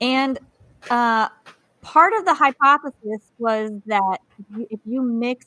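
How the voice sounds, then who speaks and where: Very slowly, a woman with an American accent speaks in a bright, sharp, fairly high voice, recorded dry and close with no echo. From US South, Georgia. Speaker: podcast co-host. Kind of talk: casual chat.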